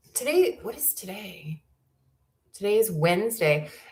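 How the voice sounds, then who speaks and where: A somewhat breathy woman's voice. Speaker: YouTube livestream host. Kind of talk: casual livestream chat. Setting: home livestream, camera not working. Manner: occasional stutter; halting, searches for words.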